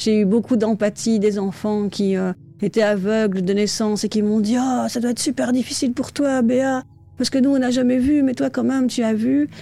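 A woman with a dark, mellow tone talks at a moderate pace and a fairly high pitch, with ordinary pitch variation and very even loudness. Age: 40s. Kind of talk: interview. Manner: hesitant.

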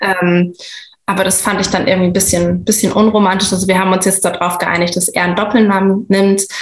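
A woman talks at a fairly quick pace in a monotone, flat intonation, her pitch medium and her loudness very even. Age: 30s. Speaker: stepmother sharing personal experience. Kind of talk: casual interview.

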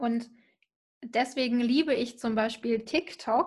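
A woman talks with ordinary pitch variation. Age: 20s. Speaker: social media marketer. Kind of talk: casual chat.

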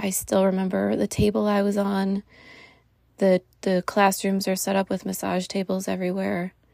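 In a very clean recording with a silent background and a dry, close sound with no echo, a woman speaks at a moderate pace in a dark, mellow tone with monotone, flat intonation. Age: 30s. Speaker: podcast host and Chinese medicine doctor. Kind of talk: personal monologue.

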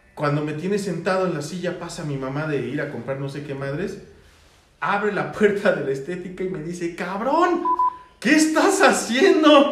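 A man with a high voice speaks at a moderate pace, his pitch swinging very widely. Room echo is audible and background noise is noticeable. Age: 30s. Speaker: podcast host. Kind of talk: casual chat.

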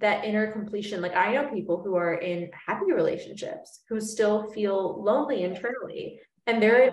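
At a moderate pace and medium pitch, a woman talks in a plain, everyday voice. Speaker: podcast host. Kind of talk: casual interview chat.

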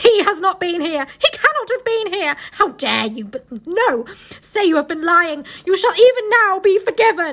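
Putting on a character voice, a woman speaks at an extremely high pitch with big pitch swings, a fairly bright tone, a moderate pace and few pauses.

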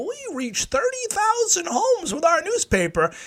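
This is a put-on character voice at an extremely high pitch. The pitch swings very widely. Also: fairly slow pace.

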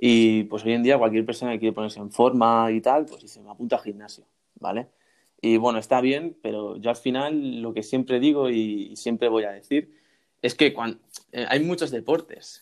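At a fairly quick pace, a man talks in a plain, everyday voice at medium pitch with fairly even intonation. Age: 20s. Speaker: university student and YouTuber. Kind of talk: interview.

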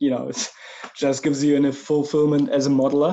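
A man with a German accent and a fairly high pitch. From Germany. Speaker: 3D creature artist. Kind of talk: interview conversation.

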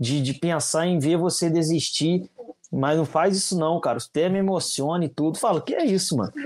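Moderate-paced speech from a man, high in pitch, with ordinary pitch variation. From Minas Gerais, Brazil (Juiz de Fora). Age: 20s. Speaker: social media content creator, digital marketing. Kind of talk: casual interview chat.

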